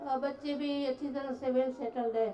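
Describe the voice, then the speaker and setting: A woman's voice sits high in pitch with a dark, mellow tone. Her intonation stays fairly even. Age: 60s. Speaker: workshop participant. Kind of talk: self-introduction. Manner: halting.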